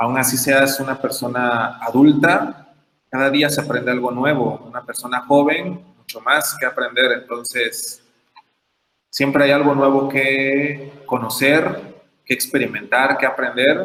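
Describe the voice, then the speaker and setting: A man with a plain, everyday voice speaks at a fairly high pitch. His pace is fairly slow and his intonation fairly even. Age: 20s. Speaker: teacher giving a talk. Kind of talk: lecture.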